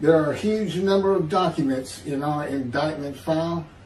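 A man speaks at a fairly slow pace with ordinary pitch variation. Audible room echo and light background noise surround him. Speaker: religious commentator. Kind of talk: sermon. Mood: earnest, measured. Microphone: webcam.

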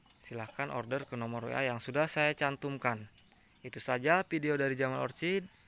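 A man's bright, sharp voice, dry with no echo, at a fairly quick pace with ordinary pitch variation. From Indonesia. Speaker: orchid seller, YouTuber. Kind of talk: sales pitch, pitchman-style promo. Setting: video, showing plants on camera. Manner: upbeat, salesy, hyping product quality. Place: garden. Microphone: phone near.

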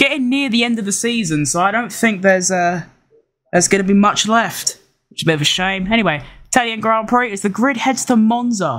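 A man's high-pitched voice with lively intonation. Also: fairly bright tone.

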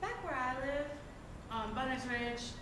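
A woman speaks at a high pitch, and the room echo is audible. Noticeable background noise is present. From West Virginia. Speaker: storyteller. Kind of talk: folk tale storytelling. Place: stage. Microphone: camera far.

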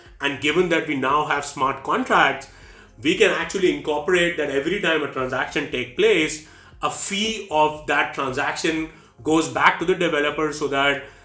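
At a moderate pace and with ordinary pitch variation, a man talks amid audible room echo. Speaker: educational vlogger. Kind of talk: explainer commentary. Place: home room.

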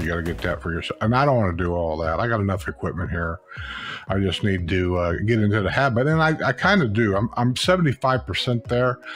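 Over faint background music, a man with a fairly low pitch speaks at a moderate pace. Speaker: youtuber reviewing gear. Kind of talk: casual product review chat. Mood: relaxed, chatty. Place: home room. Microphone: studio mic.

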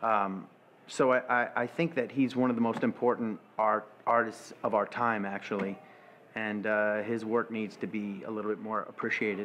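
The speaker talks at a moderate pace in an American accent. Light background noise sits behind the voice. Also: man, medium pitch for a man. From New York (Brooklyn). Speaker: stage actor. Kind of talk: interview monologue. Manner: animated. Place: home room.

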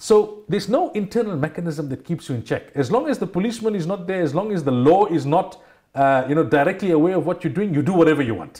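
A high-pitched man speaks at a very fast pace with hardly any pauses, lively intonation, and a dark, mellow tone against a quiet background. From South Africa. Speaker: Islamic scholar and radio personality. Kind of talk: religious talk show discussion. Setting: TV studio. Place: studio. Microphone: lapel.

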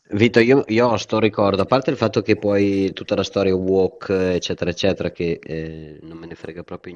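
Against a quiet background, a man with an ordinary speaking voice talks at a moderate pace and fairly low pitch with ordinary pitch variation. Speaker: podcast co-host. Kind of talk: casual chat.

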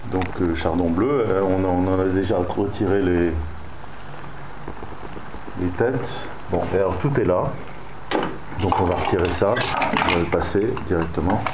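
A man speaks at a fairly slow pace, with long, frequent pauses. Loud background noise runs behind him. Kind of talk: tutorial. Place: kitchen. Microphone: phone near.

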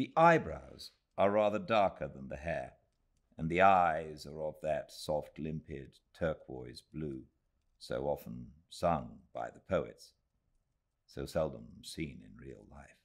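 A man speaks in a warm tone at a very slow pace, his loudness swinging widely against a quiet background. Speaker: actor and audiobook narrator. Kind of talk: audiobook reading of a Victorian novel, read aloud live. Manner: measured, unhurried, warm literary narration with careful, expressive pacing. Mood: calm, cozy, measured. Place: home room.

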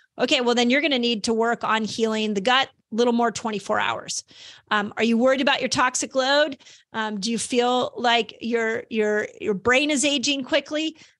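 A woman speaks with a high pitch and ordinary pitch variation. Her pace is moderate, and the background is quiet. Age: 50s. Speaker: health podcast host and author; health podcast host. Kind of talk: solo educational monologue. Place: home room. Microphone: studio mic.

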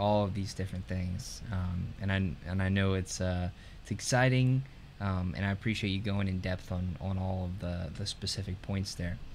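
Against light background noise, a man talks at a moderate pace in a fairly low pitch. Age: 20s. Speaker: podcast host. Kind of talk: interview. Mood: warm, appreciative. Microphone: video call.

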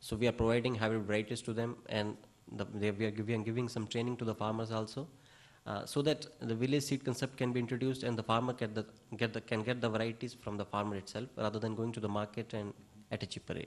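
A man races along at a very fast pace. His intonation stays monotone and flat. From India. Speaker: agricultural researcher. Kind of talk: audience question. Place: hall.

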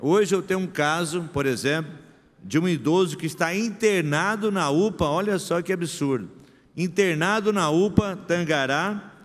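Here a man talks in a high voice with ordinary pitch variation. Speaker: city councillor. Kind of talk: plenary speech. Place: hall. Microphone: podium.

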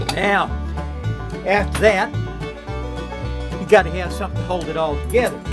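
A man talks with a rural Southern US accent. Clear music plays in the background. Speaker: home cook. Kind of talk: casual cooking demo to camera. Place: kitchen. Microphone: phone near.

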